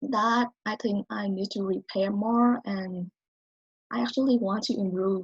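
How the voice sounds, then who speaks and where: A somewhat breathy voice moves at a fairly slow pace with ordinary pitch variation, in a dry, close sound with no echo. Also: woman, medium pitch for a woman. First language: not English. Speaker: college student. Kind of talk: speech.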